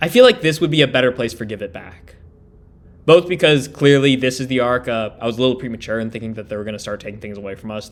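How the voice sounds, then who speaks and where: At a very fast pace, a man with a medium-pitched voice speaks with ordinary pitch variation and big swings in loudness. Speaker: anime reaction youtuber. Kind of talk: live reaction and analysis. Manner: animated, loud.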